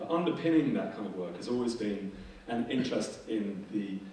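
A man with ordinary pitch variation, light background noise and audible room echo. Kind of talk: conference presentation. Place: hall.

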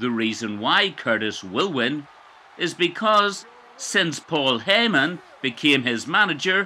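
A bright, sharp tone rings through this man's raised, projected voice. Very wide swings mark his pitch. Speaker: gaming commentator. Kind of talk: live commentary. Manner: clipped, staccato.

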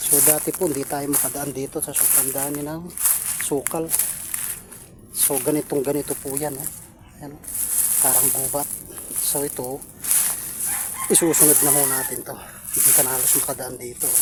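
Noticeable background noise sits behind a man with a fairly high pitch and monotone, flat intonation. He talks at a moderate pace with long, frequent pauses. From Pampanga, Philippines. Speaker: vlogger. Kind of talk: casual vlog narration. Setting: outdoors.

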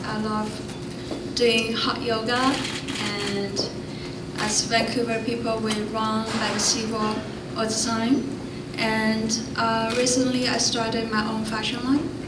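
A woman talks at a very slow pace. Behind her, music plays. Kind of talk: self-introduction at press conference. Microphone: podium.

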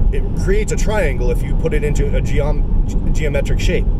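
At a moderate pace, the speech comes through a dry sound with no echo, set against loud background noise. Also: man. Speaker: religious video blogger. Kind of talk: casual religious monologue. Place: car. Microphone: phone near.

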